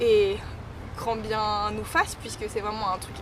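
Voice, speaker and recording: Audible room echo hangs around this recording. The woman's pitch sits fairly high. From western France (Saint-Nazaire / Nantes). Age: 20s. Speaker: DJ. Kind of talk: street interview. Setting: outdoors. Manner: weak articulation.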